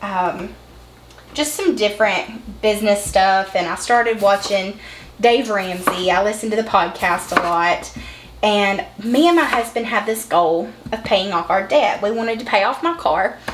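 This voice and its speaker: With a Southern US accent, a woman speaks at a fairly slow pace and medium pitch, with ordinary pitch variation. Audible room echo and noticeable background noise are present. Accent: Southern country. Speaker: vlogger and online business owner. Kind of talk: casual vlog chat while cooking. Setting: home kitchen. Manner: casual, folksy.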